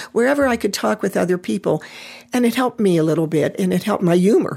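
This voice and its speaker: A woman with a fairly low pitch and vocal fry races along at a very fast pace, her pitch swinging very widely. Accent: American. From US, Pittsburgh. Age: 70s. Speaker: lung cancer survivor, sculptor. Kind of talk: interview.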